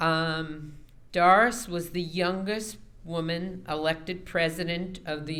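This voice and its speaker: The room's echo is audible around a woman whose voice sits fairly low. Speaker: award presenter. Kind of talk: award introduction. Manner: loud.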